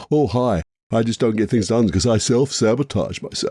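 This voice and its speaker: A man's put-on character voice, whiny, at a medium pitch with ordinary pitch variation, very even loudness and a fairly quick pace. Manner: mocking, whiny put-on voice.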